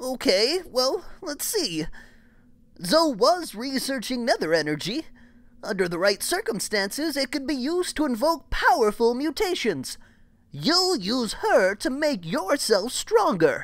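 A put-on character voice, high-pitched with very wide pitch swings, moves at a fairly slow pace. The recording is very clean, the background silent. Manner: earnest, pleading, determined.

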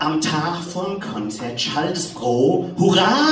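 Speaking very slowly in a Hessian accent, a woman uses lively intonation. There is audible room echo and light background noise. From Hesse, Germany. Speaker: poetry slam performer. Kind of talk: poetry slam performance. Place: stage. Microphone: camera far.

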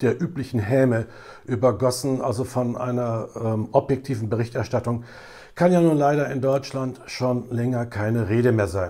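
A man's medium-pitched, dark, mellow voice with fairly even intonation over a quiet background. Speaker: political commentator. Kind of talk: political commentary to camera. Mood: critical, earnest. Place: home room. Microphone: lapel.

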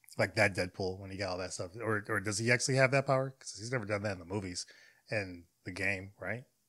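Against a quiet background, a man talks at a fairly low pitch with ordinary pitch variation. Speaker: reaction video creator. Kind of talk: casual reaction commentary. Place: home room. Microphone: studio mic.

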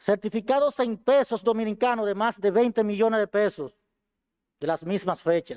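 A man's high-pitched voice at a moderate pace, with ordinary pitch variation over a quiet background. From Dominican Republic, Duarte province; Dominican Republic. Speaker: defendant, former police colonel. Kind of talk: court statement. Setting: courtroom. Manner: formal. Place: hall. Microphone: podium.

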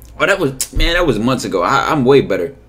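At a very fast pace, a man talks with vocal fry. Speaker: streamer reacting to video. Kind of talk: casual commentary to chat. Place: home room.

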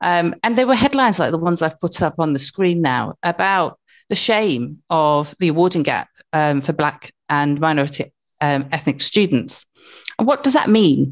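Against a quiet background, a woman with a British accent talks at a moderate pace in a fairly low pitch, her intonation lively and her loudness very even. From born in Africa, grew up in England. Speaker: university academic, former social worker; webinar presenter. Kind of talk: webinar presentation. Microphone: video call.

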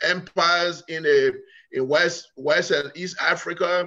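A man's high, bright, sharp voice over a quiet background. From Liberia. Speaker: political scientist; guest. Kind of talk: interview. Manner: halting. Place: kitchen. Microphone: video call.

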